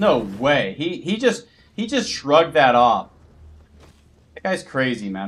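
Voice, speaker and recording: An animated man with an American accent, fairly high in pitch with vocal fry, at a fairly slow pace with very wide pitch swings, big swings in loudness and long, frequent pauses. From United States. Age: 30s. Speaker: gaming streamer. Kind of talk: live gameplay stream chat. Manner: casual, animated.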